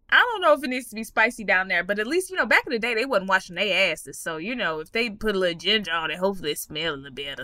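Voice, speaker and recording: A woman with an American accent at a very fast pace, hardly any pauses, very wide pitch swings and big swings in loudness, over noticeable background noise. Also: medium pitch for a woman. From Texas. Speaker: comedian and podcast host. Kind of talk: casual chat.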